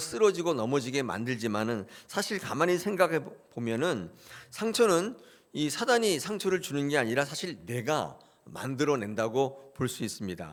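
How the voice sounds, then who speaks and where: Pitch swings very widely as a man talks in a fairly high register. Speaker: pastor. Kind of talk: sermon. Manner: frequent filler sounds, halting.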